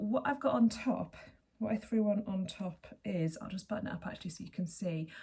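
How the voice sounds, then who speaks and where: Somewhat breathy and dark, mellow in tone, a woman's voice sits at a medium pitch with ordinary pitch variation. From England. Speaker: knitting podcaster. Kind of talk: casual chat. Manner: chatty, with hesitations.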